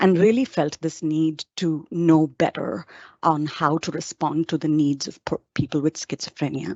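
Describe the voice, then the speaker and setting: Very deep and low in pitch, a woman speaks with an Indian accent. She keeps a moderate pace and ordinary pitch variation. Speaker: psychologist and professor. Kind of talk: webinar presentation. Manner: hesitant with frequent fillers.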